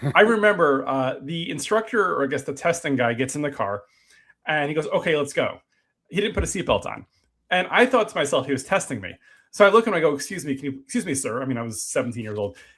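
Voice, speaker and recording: Very fast speech comes from a man with an American accent. His pitch swings very widely. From New Jersey. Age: 40s. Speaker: podcast host. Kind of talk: casual interview chat.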